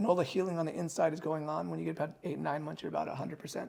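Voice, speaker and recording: Somewhat breathy and fairly high-pitched, a man talks with an American accent. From California. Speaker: plastic surgeon. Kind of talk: podcast interview answer. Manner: calm, grounded.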